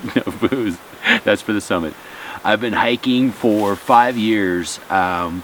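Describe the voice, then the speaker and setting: Very slow delivery with long, frequent pauses, ordinary pitch variation and noticeable background noise. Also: man, fairly low pitch for a man. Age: 40s. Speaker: hiking vlogger and bartender. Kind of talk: casual interview on trail.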